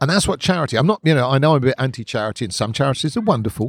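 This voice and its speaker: A man's fairly high, somewhat breathy voice with very wide pitch swings and a southern English accent, dry and close with no echo, in a very clean recording with a silent background. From southern England (Hertfordshire, London from teens). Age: 50s. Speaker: musician and campaigner. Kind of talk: casual interview. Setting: outdoors at a park cafe.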